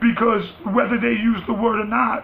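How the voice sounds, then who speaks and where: Noticeable background noise sits under a man's high-pitched voice. He speaks fairly slowly with a New York accent. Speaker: vlogger. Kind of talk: rant. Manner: loud, rising pitch when passionate; animated.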